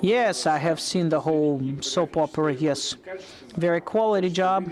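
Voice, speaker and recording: A man with a high pitch talks at a moderate pace, his loudness very even and his pitch varying in an ordinary way. Noticeable background noise runs underneath. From Crimea. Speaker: political commentator. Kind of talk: interview. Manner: halting.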